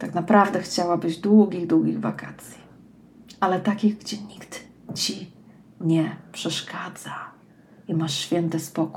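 Very slow, with long, frequent pauses, a woman speaks at a fairly low pitch in a warm tone, her loudness swinging widely while her pitch varies in an ordinary way. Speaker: personal development coach, podcast host. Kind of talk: scripted monologue, read aloud. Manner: warm, intimate direct address.

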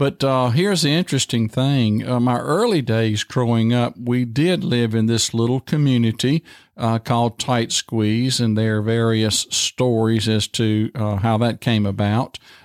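A man with a Virginia accent speaks at a fairly slow pace, his medium pitch rising and falling in an ordinary way, with very even loudness and hardly any pauses. The recording is very clean with a silent background, and the sound is dry and close with no echo. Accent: Southern US (Virginia). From US South, rural southern Virginia. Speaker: pastor. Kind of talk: interview, personal testimony. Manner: halting, many fillers.

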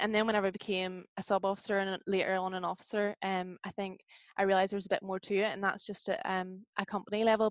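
A woman with a Northern Irish accent at a very fast pace with hardly any pauses, monotone, flat intonation, a dry, close sound with no echo and a quiet background. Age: 20s. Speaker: university student and youth group leader. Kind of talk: casual interview.

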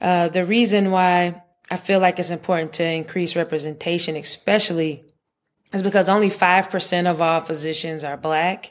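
On a very clean recording with a silent background, a woman with an American accent and a plain, everyday voice speaks at a moderate pace in a fairly low pitch with fairly even intonation. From US South, Charlotte, North Carolina. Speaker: pediatrician and researcher. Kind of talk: interview conversation.

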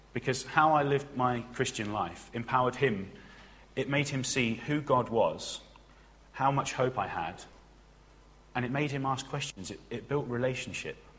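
In a room with audible echo, a man of medium pitch speaks at a moderate pace, using ordinary pitch variation and long, frequent pauses. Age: 20s. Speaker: trainee preacher. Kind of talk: sermon.

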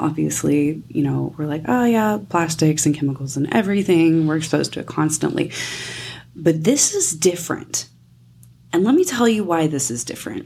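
Her pitch very deep and low, a woman talks at a moderate pace with lively intonation. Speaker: nutrition coach podcast host. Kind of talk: solo podcast monologue. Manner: casual, chatty.

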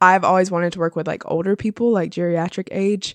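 A woman with an American accent has a plain, everyday voice, fairly low in pitch. Her intonation stays fairly even against a quiet background. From South Carolina, Florence. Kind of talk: casual interview.

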